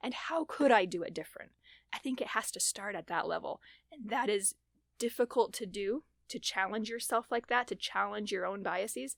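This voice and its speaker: The woman speaking has a fairly high pitch. Her pace is moderate and her intonation lively. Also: dry, close sound with no echo, very clean recording, silent background. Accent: American. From US Upper Midwest, South Dakota. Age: 30s. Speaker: political candidate. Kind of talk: interview. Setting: studio.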